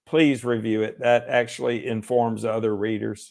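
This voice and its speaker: A man with a Southern US accent, medium pitch, and a fairly slow pace. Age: 60s. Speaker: lawyer and author. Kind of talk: interview. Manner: halting, many fillers.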